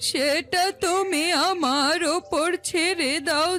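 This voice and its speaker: Over clear music in the background, a woman uses a cartoonish character voice at an extremely high pitch, speaking at a very slow pace with fairly even intonation. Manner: authoritative.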